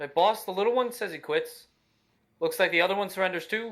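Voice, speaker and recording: A man puts on a gruff, high-pitched character voice and talks at a very fast pace. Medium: actual play. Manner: blunt, rough-spoken.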